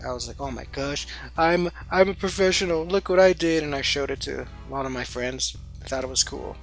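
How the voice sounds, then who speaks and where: Music plays in the background as the words come at a fairly quick pace. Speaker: artist. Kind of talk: casual talk to camera.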